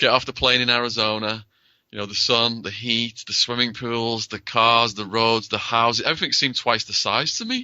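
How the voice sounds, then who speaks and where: A man at a medium pitch, moderate pace and monotone, flat intonation. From northern England, Widnes. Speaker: author and public speaker. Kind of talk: interview.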